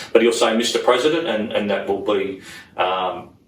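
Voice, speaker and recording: With an Australian accent, a man talks at a fairly quick pace amid audible room echo. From Sydney, Australia. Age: 60s. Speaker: politician. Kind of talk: interview. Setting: parliament house.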